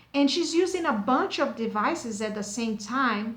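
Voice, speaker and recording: A woman speaks at a moderate pace with a high pitch. Audible room echo surrounds her voice. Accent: American. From United States. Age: 40s. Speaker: beauty product reviewer. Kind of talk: casual vlog review. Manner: halting, many fillers and repetitions.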